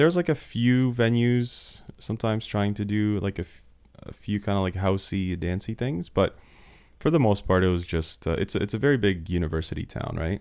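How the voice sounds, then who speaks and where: With a Canadian accent, a man talks at a fairly quick pace in a fairly low pitch with lively intonation. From Slovakia, then London, Ontario, Canada. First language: Slovak. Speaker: DJ and music producer. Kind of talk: casual interview chat.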